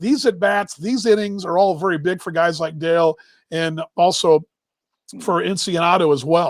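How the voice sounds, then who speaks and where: A man speaks with a Texas accent and ordinary pitch variation. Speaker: baseball show host. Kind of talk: casual live-stream chat. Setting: live stream.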